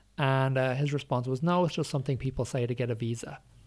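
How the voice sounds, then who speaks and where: A man with an Irish accent talks at a fairly quick pace, keeping a medium pitch and fairly even intonation. The recording is very clean, with a silent background. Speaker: academic and former sex worker. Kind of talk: interview. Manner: halting.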